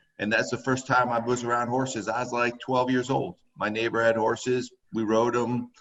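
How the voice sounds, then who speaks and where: Speaking at a moderate pace with hardly any pauses, a man with a medium-pitched voice and an American accent keeps his intonation flat and monotone. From Connecticut (Woodbury/Waterbury). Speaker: horse trainer. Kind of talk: casual interview chat.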